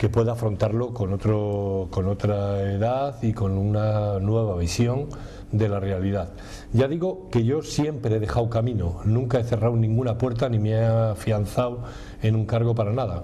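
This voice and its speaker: Through audible room echo and noticeable background noise, a man speaks at a moderate pace and a fairly low pitch, with ordinary pitch variation and very even loudness. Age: 60s. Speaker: trade union leader. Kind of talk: interview. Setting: restaurant.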